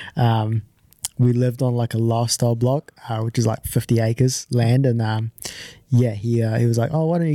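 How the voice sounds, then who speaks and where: Recorded very cleanly with a silent background, a man with a New Zealand accent speaks at a medium pitch and a moderate pace in a dark, mellow tone. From New Zealand (born in Japan, moved at five). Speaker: amateur golfer. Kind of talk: interview.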